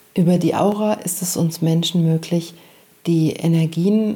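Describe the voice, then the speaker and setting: Over noticeable background noise, a gentle, calm tone moves at a fairly slow pace with fairly even intonation. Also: woman. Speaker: meditation guide and podcast host. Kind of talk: guided meditation. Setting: studio with background music. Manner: slow, soft, calm and soothing; gentle, pausing often.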